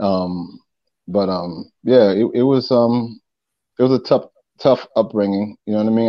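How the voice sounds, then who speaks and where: A man talks in a New York accent with ordinary pitch variation. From Long Island, New York. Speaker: rapper and former TV host. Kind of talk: casual interview.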